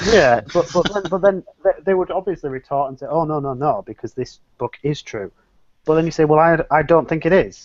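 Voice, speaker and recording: The speaker has an English accent and ordinary pitch variation. The pace is fairly quick. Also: man, fairly high pitch for a man. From England. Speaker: atheist panelist. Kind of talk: casual chat.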